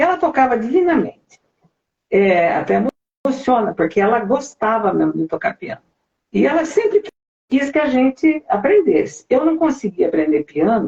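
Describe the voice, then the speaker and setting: Her high voice swings very widely in pitch as the woman talks at a moderate pace. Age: 60s. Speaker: singer. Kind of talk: interview.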